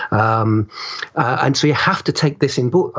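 There is noticeable background noise as a man talks at a medium pitch. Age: 50s. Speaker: writer. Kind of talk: interview. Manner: halting, many fillers.

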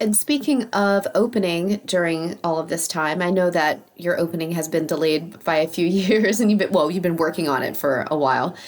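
With hardly any pauses, a woman speaks at a moderate pace and a fairly low pitch in an ordinary speaking voice. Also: ordinary pitch variation. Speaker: podcast host and interviewer. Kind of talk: casual chat. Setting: video call interview via remote recording.

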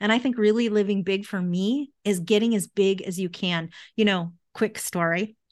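A woman has an unremarkable speaking voice at a medium pitch and a moderate pace. Her intonation is fairly even, over a quiet background. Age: 50s. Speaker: mindset coach and author. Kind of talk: interview.

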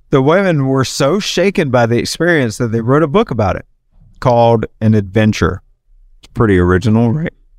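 Recorded very cleanly against a silent background, a man with a strong Southern US accent talks at a fairly quick pace, his intonation lively and his loudness swinging widely. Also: medium pitch for a man. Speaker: podcast host. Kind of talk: casual chat. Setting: bar.

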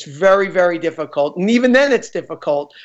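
Against a quiet background, a man with a New York accent talks at a moderate pace with lively intonation. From New York, Queens. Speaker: film director. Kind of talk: interview. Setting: studio.

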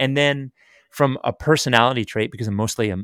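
In a very clean recording with a silent background and a dry, close sound with no echo, a man with an unremarkable speaking voice talks at a fairly quick pace with ordinary pitch variation. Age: 40s. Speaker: sports radio programming executive and podcast host. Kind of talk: casual chat.

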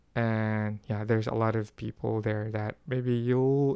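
A male voice, very slow in pace. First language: not English. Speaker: solo podcast host, Korean language learner. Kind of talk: casual solo monologue. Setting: home recording at night. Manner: halting, many restarts and fillers.

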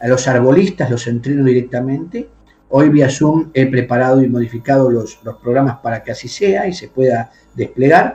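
This man's voice is dark and mellow, pitched in the middle range. A moderate breathiness runs through it. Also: ordinary pitch variation, moderate pace. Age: 50s. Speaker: bishop and exorcist. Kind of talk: interview. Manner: formal.

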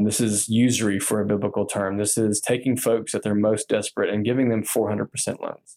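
A man's fairly low, dark, mellow voice with an American accent, monotone, flat intonation and a moderate pace, in a dry, close sound with no echo. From Texas, Austin. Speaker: advocacy director for a church network. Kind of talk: interview. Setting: office.

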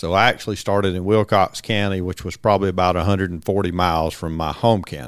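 A man with a Georgia accent speaks at a very fast pace with hardly any pauses. His pitch is very deep and low, with fairly even intonation. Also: very clean recording, silent background. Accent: Southern (Georgia) accent, noticeable. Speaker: retired game warden colonel. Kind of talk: interview storytelling.

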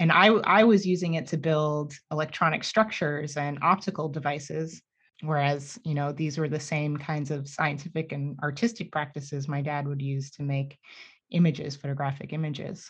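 Against a quiet background, a somewhat breathy voice speaks at a moderate pace in an American accent. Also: woman, very deep, low pitch for a woman, fairly even intonation. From New York City. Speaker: scientist and educator. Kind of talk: casual interview conversation. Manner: halting, with many repeated words.

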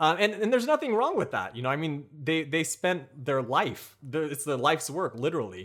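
A man with an American accent talks at a fairly quick pace in a fairly high voice, his pitch swinging very widely and hardly pausing, on a very clean recording with a silent background. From United States. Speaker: food blogger and cooking show host. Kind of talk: casual chat.

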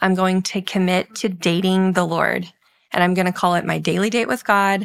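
Speaking with a Texan accent, a woman keeps her intonation fairly even. The recording is very clean, with a silent background. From rural Texas. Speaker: author and counseling practice co-owner. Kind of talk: interview.

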